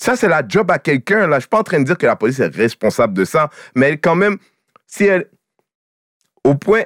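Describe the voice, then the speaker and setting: Using vocal fry, a man talks at a fairly quick pace and fairly high pitch with very wide pitch swings, very even loudness and long, frequent pauses, in a dry, close sound with no echo. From Quebec, Haitian family. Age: 40s. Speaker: comedian. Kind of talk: casual chat.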